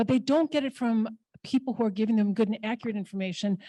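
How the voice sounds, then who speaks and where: Very fast and somewhat breathy, a woman's fairly high voice with a dark, mellow tone is heard in dry, close sound with no echo. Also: very clean recording, silent background. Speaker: immigration legal services director. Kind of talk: conference panel talk. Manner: casual.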